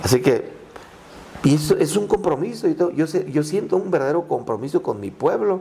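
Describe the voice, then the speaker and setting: A man talking at a fairly quick pace against noticeable background noise. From Mexico, Michoacán (Purépecha town near Tancítaro). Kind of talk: interview conversation.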